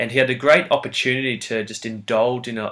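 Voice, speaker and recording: A man with an Australian accent speaks at a moderate pace in a monotone, flat intonation. The recording is very clean, with a silent background. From Australia (Brisbane). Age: 20s. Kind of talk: competition video talk about a saint.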